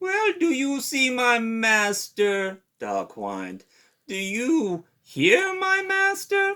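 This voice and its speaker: A man puts on a character voice at an extremely high pitch with very wide pitch swings. He speaks at a very slow pace. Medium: read story. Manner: sly, wheedling.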